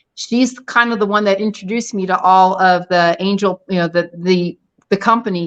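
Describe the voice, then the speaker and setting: A woman speaks at a moderate pace with fairly even intonation and medium pitch. She has an ordinary speaking voice. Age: 60s. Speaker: retired dentist and bikini competitor. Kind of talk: casual chat.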